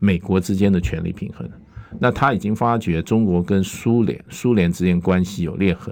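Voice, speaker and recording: A man's very deep, low voice carries ordinary pitch variation as he talks at a moderate pace. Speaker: international affairs expert, former ambassador. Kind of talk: talk radio interview. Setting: radio studio.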